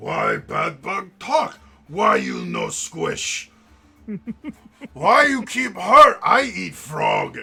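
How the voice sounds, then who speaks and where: In a raspy, put-on character voice, the speaker talks at a very slow pace with long, frequent pauses. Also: man. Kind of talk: broken simple speech. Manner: dim-witted.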